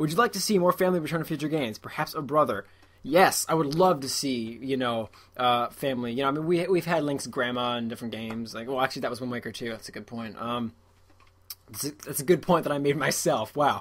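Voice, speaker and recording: Speaking very fast with an American accent, a man uses a fairly high pitch and ordinary pitch variation. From Massachusetts, US. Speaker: gaming YouTuber answering viewer questions. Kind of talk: casual Q&A vlog. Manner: hesitant, many fillers.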